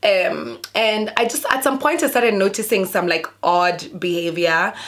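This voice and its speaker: An animated tone with very wide pitch swings, moderate pace and very even loudness, against noticeable background noise. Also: woman, medium pitch for a woman. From sub-Saharan Africa. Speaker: YouTuber. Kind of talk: casual storytime vlog.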